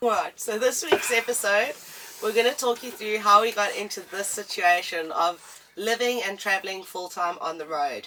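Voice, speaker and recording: Over noticeable background noise, a woman with a fairly high pitch speaks in a strong South African accent. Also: ordinary pitch variation, moderate pace. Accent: thick South African. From South Africa, East London. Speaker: travel vlogger. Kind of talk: casual chat.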